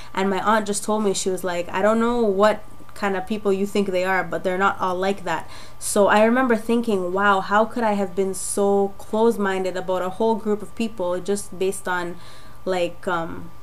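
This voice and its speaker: Amid audible room echo, a woman with a medium pitch talks at a moderate pace in a monotone, flat intonation. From Jamaica. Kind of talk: testimony. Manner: casual, hesitant with fillers.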